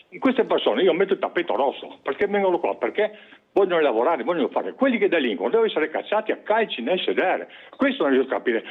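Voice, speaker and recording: A man at a very fast pace, animated in tone with very wide pitch swings, over noticeable background noise. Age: 70s. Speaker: caller. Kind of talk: phone-in complaint. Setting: phone call.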